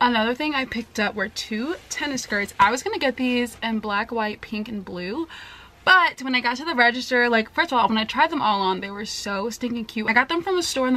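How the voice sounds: A woman's fairly high pitch, lively intonation and bright, sharp tone at a fairly quick pace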